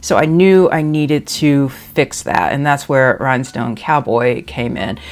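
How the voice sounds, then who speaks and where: This woman, with a Southern US accent, has a very deep, low pitch and ordinary pitch variation, talking at a fairly slow pace. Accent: Southern-sounding. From DC / Maryland area, US. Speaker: nail polish youtuber. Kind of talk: casual product review. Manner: hesitant, many fillers and repetitions.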